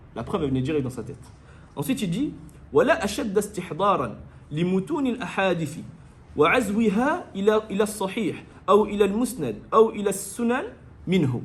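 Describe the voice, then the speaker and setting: Speaking at a very slow pace with long, frequent pauses, a man uses a high pitch and very wide pitch swings. Audible room echo surrounds his voice. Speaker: Islamic religious teacher. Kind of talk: lecture.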